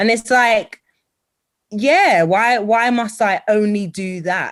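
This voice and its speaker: Speaking very slowly, a woman uses a fairly high pitch with ordinary variation. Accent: British. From Britain. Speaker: TV and radio presenter, voice-over artist. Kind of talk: interview answer. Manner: bubbly, energetic.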